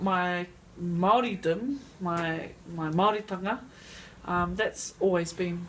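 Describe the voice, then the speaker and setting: Speaking in a New Zealand accent, a woman with a fairly low pitch moves at a very slow pace with ordinary pitch variation and long, frequent pauses, over noticeable background noise. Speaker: interviewee. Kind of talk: interview.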